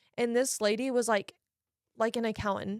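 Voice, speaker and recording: An animated woman talks at a fairly quick pace with a fairly high pitch and an American accent. The sound is dry and close with no echo. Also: very clean recording, silent background. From United States, Oklahoma. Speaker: college soccer player. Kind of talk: casual podcast conversation. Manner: animated, chatty.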